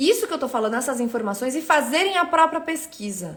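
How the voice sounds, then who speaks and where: With an energetic tone, a woman talks at a fairly quick pace and with lively intonation. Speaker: economist, teacher. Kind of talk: live stream talk. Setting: live stream. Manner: fast.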